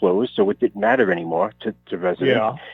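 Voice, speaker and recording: In a Rhode Island accent, the words come at a very fast pace. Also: man. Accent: North Providence. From Rhode Island, North Providence. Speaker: author. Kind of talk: radio interview. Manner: hesitant, many fillers.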